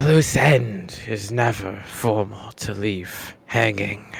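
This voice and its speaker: A man puts on a character voice at a fairly low pitch. He talks at a very slow pace. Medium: actual play. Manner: terse, guarded.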